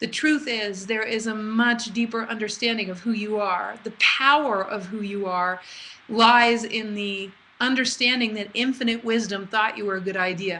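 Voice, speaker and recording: A woman with an unremarkable speaking voice talks with fairly even intonation, keeping a moderate pace. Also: fairly high pitch for a woman. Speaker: spiritual teacher. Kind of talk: live online class. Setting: live webinar call.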